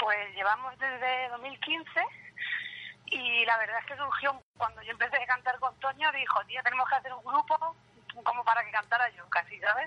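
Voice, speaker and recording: Dry and close with no echo, a woman's high-pitched voice shows ordinary pitch variation and big swings in loudness. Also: moderate pace. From Albacete, Spain. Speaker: band singer. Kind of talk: interview.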